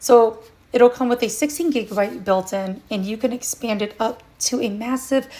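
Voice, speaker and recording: Here is a normal speaking voice. The pitch varies in an ordinary way. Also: woman. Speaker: product reviewer. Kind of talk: product review.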